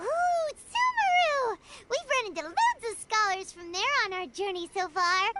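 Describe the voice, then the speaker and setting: Squeaky and extremely high-pitched, a put-on character voice goes along at a moderate pace. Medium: video game. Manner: bright, chirpy.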